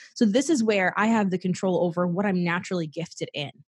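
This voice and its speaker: In a quiet setting, a woman speaks at medium pitch with ordinary pitch variation and a somewhat breathy quality. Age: 20s. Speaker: life coach. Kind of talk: casual interview.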